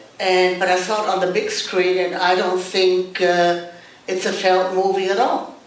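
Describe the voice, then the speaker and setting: The woman's voice sits at a medium pitch. Audible room echo and noticeable background noise surround it. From Germany. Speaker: actress. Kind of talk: panel discussion.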